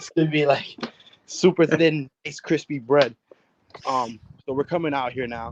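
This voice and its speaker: A man with an American accent talks at a moderate pace in an animated tone, leaving long, frequent pauses. His loudness swings widely. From New Jersey, US (West New York). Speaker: chef. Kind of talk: live cooking demonstration. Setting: outdoors in his yard on a video call.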